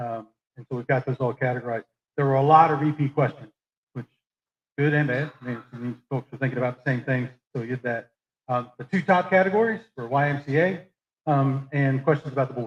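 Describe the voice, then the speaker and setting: A man at a fairly quick pace, somewhat breathy, with ordinary pitch variation. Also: medium pitch for a man. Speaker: meeting moderator. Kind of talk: public meeting Q&A moderation. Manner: fast.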